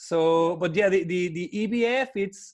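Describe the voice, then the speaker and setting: Lively intonation runs through this voice with a Spanish accent. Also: man. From Mexico. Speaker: wedding photographer. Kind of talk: interview. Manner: halting, many repetitions.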